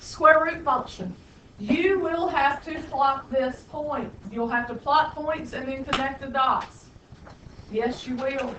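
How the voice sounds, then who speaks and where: Speaking very slowly in an American accent, a woman uses a high pitch with ordinary pitch variation. Audible room echo is present. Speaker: high school math teacher. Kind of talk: classroom lecture. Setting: classroom.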